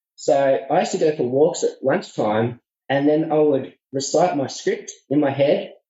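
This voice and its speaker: A man with a rural Australian accent talks at a moderate pace in a fairly high, somewhat breathy voice with ordinary pitch variation. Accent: relaxed rural Australian. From regional Australia. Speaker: public speaking coaching student. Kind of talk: interview. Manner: laid back; halting, repeats words.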